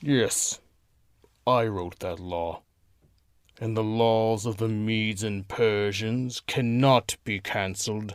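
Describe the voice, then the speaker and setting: A put-on character voice, very slow and fairly even in intonation, with long, frequent pauses, in a very clean recording with a silent background. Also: man, medium pitch for a man. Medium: audio drama.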